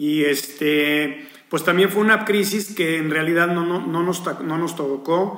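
A man with a Mexican accent at a fairly high pitch and fairly slow pace, ordinary pitch variation, audible room echo and noticeable background noise. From Mexico. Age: 50s. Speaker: hotel executive. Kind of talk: interview. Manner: halting, repeats words.

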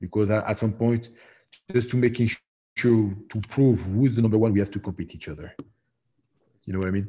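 The voice has a dark, mellow tone, somewhat breathy, with fairly even intonation at a moderate pace, long, frequent pauses and a quiet background. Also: man, fairly low pitch for a man. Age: 40s. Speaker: professional MMA heavyweight fighter. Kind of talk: interview. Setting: remote call from home.

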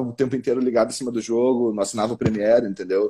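The voice is a man's, dark and mellow in tone. He talks at a very fast pace. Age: 20s. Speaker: football fan commentator. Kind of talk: casual chat.

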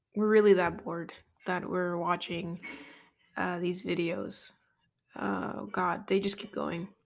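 A woman with vocal fry speaks slowly in a fairly low pitch and a monotone, flat delivery, leaving long, frequent pauses. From Puerto Rican heritage. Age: 20s. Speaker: podcast host. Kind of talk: casual solo monologue.

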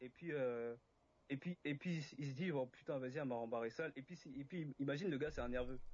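A man's normal speaking voice, fairly high in pitch, fairly quick in pace, with ordinary pitch variation. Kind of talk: casual debate livestream.

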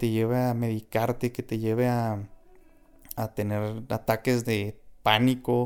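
A man's medium-pitched voice in a northern Mexican accent, with monotone, flat intonation. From Mexico, Chihuahua. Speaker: podcast host. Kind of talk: spiritual monologue.

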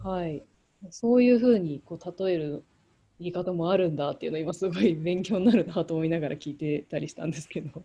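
A woman's fairly low voice, dark and mellow in tone, at a fairly quick pace with ordinary pitch variation. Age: 30s. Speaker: podcast co-host. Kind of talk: casual chat.

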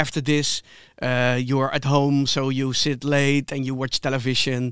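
A man speaks with a Dutch accent. His voice is fairly high for a man, and his pace is fairly slow. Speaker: podcast co-host. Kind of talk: interview.

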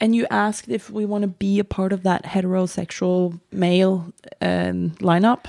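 A woman with a Norwegian accent talks at a moderate pace, her pitch medium and her intonation fairly even. The sound is dry and close, with no echo. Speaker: podcast co-host, surfer. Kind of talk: casual chat.

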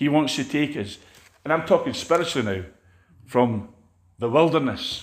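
Speaking with a Scottish accent, a man keeps a moderate pace and lively intonation. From Scotland. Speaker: preacher. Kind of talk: sermon. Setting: church.

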